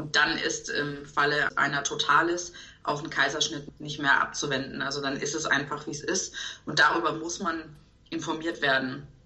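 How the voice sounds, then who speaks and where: With audible room echo and noticeable background noise around her, a woman talks at a moderate pace. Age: 30s. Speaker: expectant mother, event manager. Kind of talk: podcast interview.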